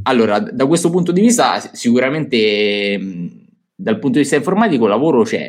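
Pitch swinging very widely, a man talks at a fairly quick clip. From Italy. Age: young. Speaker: finance youtuber. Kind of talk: casual interview. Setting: live stream. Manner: halting.

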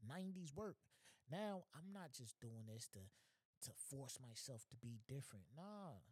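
Recorded dry and close with no echo, a man speaks very slowly in a somewhat breathy, medium-pitched voice with very wide pitch swings. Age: 30s. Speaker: podcast host. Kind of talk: casual monologue. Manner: animated.

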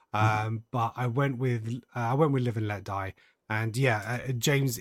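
The recording is very clean, with a silent background. A man with a British accent sounds somewhat breathy and keeps his intonation fairly even. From UK. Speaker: podcast host. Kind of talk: casual chat.

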